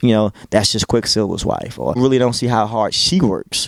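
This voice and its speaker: A man speaks with a Baltimore accent and fairly even intonation. The sound is dry and close, with no echo. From Baltimore, Maryland, US. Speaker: radio DJ. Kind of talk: interview.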